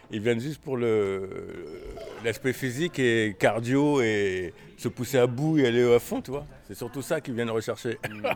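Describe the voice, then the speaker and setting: Music plays in the background as the speech moves at a fairly slow pace with ordinary pitch variation. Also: man, medium pitch for a man. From Paris. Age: 50s. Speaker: boxing coach. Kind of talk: casual chat. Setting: gym.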